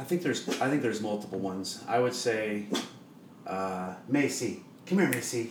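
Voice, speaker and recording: A man speaks with a Midwestern US accent. Noticeable background noise and audible room echo accompany him. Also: medium pitch for a man, lively intonation, moderate pace. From Iowa, Des Moines. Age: 40s. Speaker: church worship leader. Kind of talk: casual chat. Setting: home kitchen.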